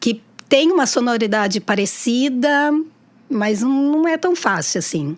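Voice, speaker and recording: A woman speaks fairly slowly in a high voice that moves through very wide pitch swings. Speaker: teacher and tarot reader. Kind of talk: casual chat. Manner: halting, many repetitions.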